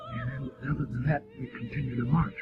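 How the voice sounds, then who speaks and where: Music plays in the background. The speaker has an American accent. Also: man. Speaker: war veteran. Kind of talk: interview answer.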